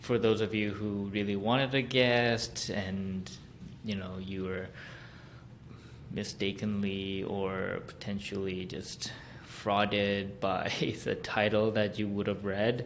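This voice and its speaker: A man speaks at a very slow pace in a fairly low voice, with ordinary pitch variation and audible room echo. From South Korea and Hong Kong. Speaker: podcast host. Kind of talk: solo podcast monologue. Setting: recording room at parents' home. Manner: casual, hesitant with fillers.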